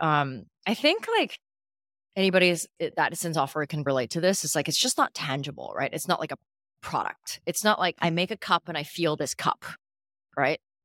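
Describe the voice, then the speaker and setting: With a Canadian accent, a woman talks at a fairly quick pace in an ordinary speaking voice, her pitch fairly low with ordinary pitch variation, the sound dry and close with no echo. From Canada (Calgary), early childhood in Hong Kong. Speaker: startup founder and CEO. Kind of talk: interview.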